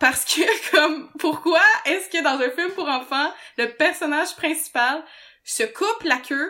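A woman's raised, projected voice in a Quebec accent, bright and sharp in tone, with lively intonation at a very slow pace. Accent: Québécois French. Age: 20s. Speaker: podcast host. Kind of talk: casual chat.

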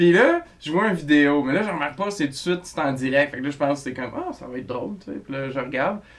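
Over noticeable background noise, a man with a fairly high pitch talks at a very fast pace, with ordinary pitch variation and big swings in loudness. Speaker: podcast co-host. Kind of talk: casual chat.

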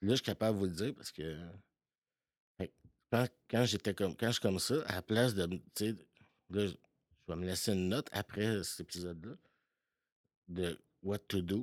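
With long, frequent pauses, a man speaks at a fairly low pitch with ordinary pitch variation, the sound dry and close with no echo on a very clean recording with a silent background. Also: moderate pace. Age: 40s. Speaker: podcast guest sharing recovery story. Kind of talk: personal testimony. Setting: home basement.

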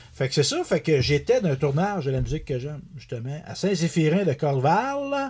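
A man with a Quebec accent, lively intonation and a moderate pace. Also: fairly high pitch for a man, hardly any pauses. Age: 40s. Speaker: country singer and author. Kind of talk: casual interview chat.

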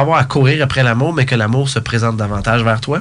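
A man at medium pitch with ordinary pitch variation and a fairly quick pace, over noticeable background noise. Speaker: speaker, coach and author. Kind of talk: interview. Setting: studio.

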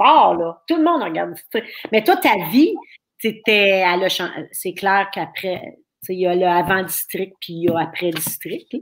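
A woman at medium pitch with an animated tone and lively intonation, fairly slow pace, long, frequent pauses, and a very clean recording with a silent background. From Quebec, Thetford Mines area. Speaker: livestream talk show host. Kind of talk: casual interview. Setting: live stream at home.

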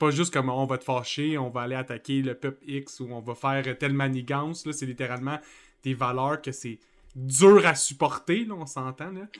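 In a very clean recording with a silent background, a man uses a normal speaking voice at a fairly high pitch and moderate pace, with ordinary pitch variation and big swings in loudness. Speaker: YouTube channel host. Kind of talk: casual chat.

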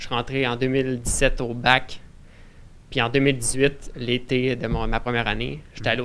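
Using vocal fry, a man of medium pitch speaks at a moderate pace in a monotone, flat intonation. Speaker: forestry student. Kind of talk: casual chat.

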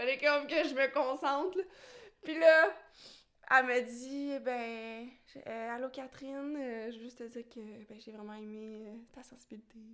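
With a Quebec accent, the speaker goes fairly slowly and leaves long, frequent pauses. Pitch variation is ordinary, while the loudness swings widely. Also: woman, high pitch for a woman. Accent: Québécois French. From rural Quebec. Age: 20s. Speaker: contemporary dancer. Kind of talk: casual chat.

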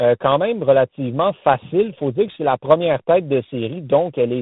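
An ordinary speaking voice from a man, at a moderate pace with lively intonation. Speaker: tennis columnist. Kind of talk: casual chat. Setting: phone call from a car. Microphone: phone line.

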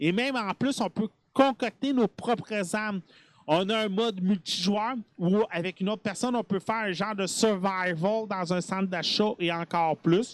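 Speaking at a moderate pace with a Quebec accent, a high-pitched man shows ordinary pitch variation on a very clean recording with a silent background. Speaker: gaming podcast host. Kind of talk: casual chat. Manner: hesitant, many filler sounds.

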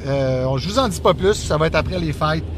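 A man speaks against noticeable background noise. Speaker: podcast co-host. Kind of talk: casual chat. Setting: in a car.

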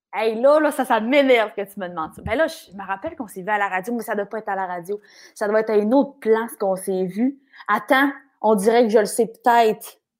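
With a Quebec accent, a woman talks at a very fast pace in a fairly high pitch, with ordinary pitch variation and big swings in loudness. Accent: noticeable regional Quebec. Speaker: radio host and coach. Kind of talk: casual interview chat. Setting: video call with earphones.

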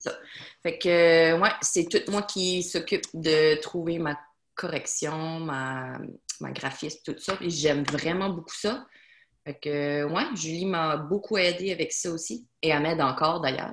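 Very slow delivery from a woman, her pitch fairly low and her pitch variation ordinary. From Acadian Peninsula, New Brunswick. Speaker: self-published novelist. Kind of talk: casual interview.

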